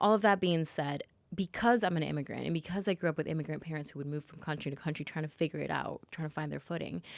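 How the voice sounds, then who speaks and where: At a very fast pace, a woman speaks with a very deep, low pitch, vocal fry and ordinary pitch variation. Her loudness swings widely in a very clean recording with a silent background. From Latin America (Venezuela/Panama). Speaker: founder and creator. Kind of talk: casual interview chat.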